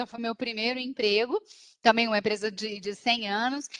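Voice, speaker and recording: A woman with a Minas Gerais accent, fairly high in pitch and fairly quick, in a dry, close sound with no echo. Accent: Minas Gerais (mineiro). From Minas Gerais, Brazil. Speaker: business strategist. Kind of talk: talk. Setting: video call. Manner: animated.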